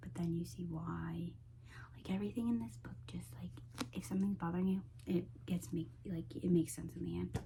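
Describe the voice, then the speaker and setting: A woman whispers at a moderate pace. She is soft-spoken. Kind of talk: ASMR book haul talk to camera. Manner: soft-spoken, whispery.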